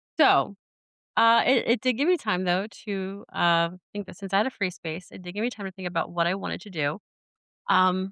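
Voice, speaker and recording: Delivered at a moderate pace, a normal speaking voice shows big swings in loudness while its pitch varies in an ordinary way. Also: woman, medium pitch for a woman. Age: 40s. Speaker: podcast host. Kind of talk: casual chat. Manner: rambling with many fillers.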